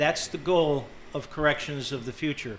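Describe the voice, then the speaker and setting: A man with a fairly high voice speaks in a monotone, flat way, with audible room echo and noticeable background noise. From western Massachusetts, born in Ireland. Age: 60s. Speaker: county sheriff and candidate. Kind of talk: debate opening statement. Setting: grange hall with live audience.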